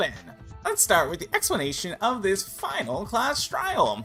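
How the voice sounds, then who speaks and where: Someone speaks in a put-on character voice at a moderate pace. Music is clearly audible in the background. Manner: theatrical, playful, menacing.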